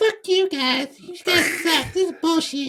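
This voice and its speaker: Someone speaks in a put-on character voice at an extremely high pitch and a fairly slow pace. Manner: grumpy, swearing.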